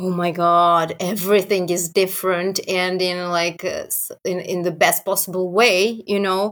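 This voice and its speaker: Using a monotone, flat intonation, a woman with a Serbian accent speaks at a medium pitch and a fairly slow pace. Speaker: metal band singer and vocal teacher. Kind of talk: casual interview. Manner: laughs often.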